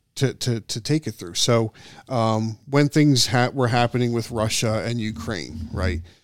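A man with an unremarkable speaking voice at medium pitch, in a dry, close sound with no echo on a very clean recording with a silent background. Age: 50s. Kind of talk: casual chat.

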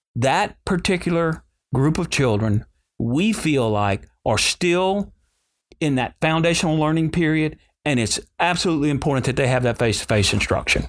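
In a Louisiana accent, a man speaks fairly high at a moderate pace with lively intonation and very even loudness, on a very clean recording with a silent background. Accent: Southern US (Louisiana). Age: 60s. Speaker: school superintendent. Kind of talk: interview.

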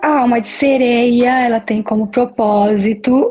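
A woman talks at a very slow pace with a fairly high pitch and ordinary pitch variation. Music plays in the background. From Brazil, Maceió, Alagoas (Northeast). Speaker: model and beachwear entrepreneur. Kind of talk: interview. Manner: halting, with hesitations.

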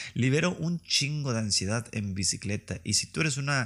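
Someone speaks at a fairly slow pace with a slight northern Mexican accent in a very clean recording with a silent background. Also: man. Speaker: podcast host. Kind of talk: comedic solo monologue. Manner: animated. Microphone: new microphone.

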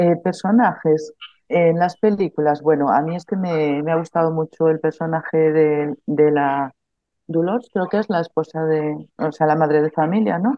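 The woman speaks at a moderate speed. Her very deep, low pitch shows ordinary variation. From Galicia, Spain (Melide). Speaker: social educator and pedagogy student. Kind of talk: casual chat. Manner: halting.

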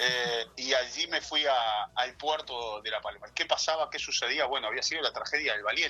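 Noticeable background noise sits beneath a man speaking at a moderate pace. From Uruguay, Rocha. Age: 40s. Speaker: TV news reporter. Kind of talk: interview. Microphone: phone on speaker.

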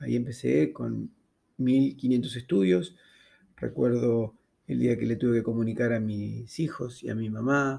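A dark, mellow tone with ordinary pitch variation. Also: man. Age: 50s. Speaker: cancer survivor. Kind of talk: testimony.

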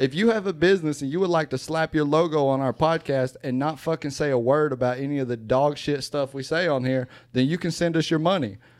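Against a quiet background, the speaker talks at a very fast pace with hardly any pauses and ordinary pitch variation. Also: man, fairly high pitch for a man. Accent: Southern US. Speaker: rapper and podcast co-host. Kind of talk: casual chat. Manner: animated.

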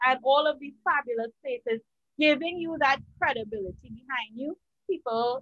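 Woman with a bright, sharp tone, very wide pitch swings and a moderate pace, in a dry, close sound with no echo. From Trinidad and Tobago. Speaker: podcast co-host, media and PR consultant. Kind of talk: casual chat. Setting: home with fireworks and party noise in background. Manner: animated.

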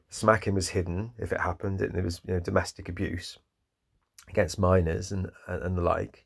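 Fairly quick and somewhat breathy, a man speaks at a very deep, low pitch in a flat monotone, recorded very cleanly over a silent background. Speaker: podcast host. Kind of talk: unscripted monologue. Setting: solo podcast recording. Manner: halting, many pauses.

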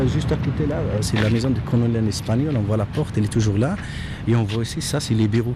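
Delivered at a fairly quick pace with very even loudness, the voice carries audible room echo and noticeable background noise. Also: man. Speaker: local guide. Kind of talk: guided tour.

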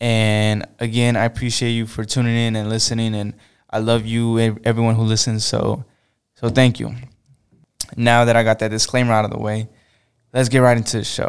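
This man speaks at a fairly quick pace in a monotone, flat intonation, broken up by long, frequent pauses. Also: medium pitch for a man. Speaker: podcast host. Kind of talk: casual solo podcast talk. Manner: may sound flat or monotone.

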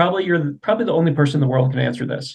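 A man with a fairly high pitch, somewhat breathy, with ordinary pitch variation. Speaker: podcast host. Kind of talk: interview. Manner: halting.

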